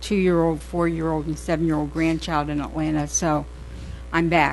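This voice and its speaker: The room around this woman's voice gives off an audible echo. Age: 70s. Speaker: city council member. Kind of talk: prepared statement at council meeting. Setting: council chamber meeting. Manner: deliberate, reading prepared remarks.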